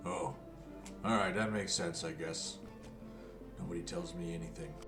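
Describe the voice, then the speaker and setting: A man's put-on character voice at a moderate pace, with loud music in the background. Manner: grumbling, sulky.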